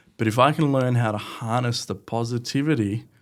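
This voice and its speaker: With an Australian accent, a man speaks at a medium pitch with ordinary pitch variation on a very clean recording with a silent background. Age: 20s. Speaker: podcast guest, marketer. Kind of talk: interview conversation.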